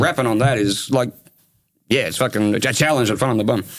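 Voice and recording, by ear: A man talks with a strong Australian accent. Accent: broad Australian.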